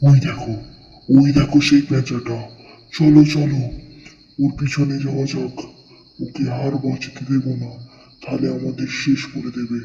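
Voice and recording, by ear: A man does a cartoonish character voice at a medium pitch, speaking at a moderate pace in a monotone, flat delivery with a slight echo.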